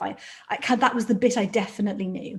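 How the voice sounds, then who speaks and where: In a Welsh accent, the somewhat breathy voice moves at a very fast pace with ordinary pitch variation. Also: woman. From South Wales. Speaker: doctor and medical leader. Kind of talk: webinar interview, personal story. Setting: video call webinar.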